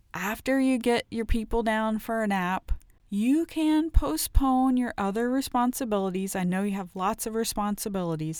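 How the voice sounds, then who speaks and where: A woman with an unremarkable speaking voice talks at medium pitch and a moderate pace, her intonation lively. The recording is very clean, with a silent background. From Ohio, US Midwest. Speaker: wellness podcast host and author. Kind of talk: solo wellness podcast monologue. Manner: frequent laughter, upbeat.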